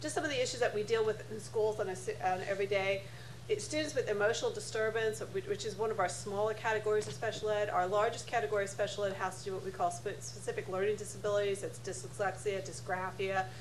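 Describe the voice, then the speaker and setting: A woman with an American accent talks at a very fast pace with hardly any pauses, with audible room echo and noticeable background noise. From northern US. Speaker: school board attorney. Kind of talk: panel talk. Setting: conference panel with audience.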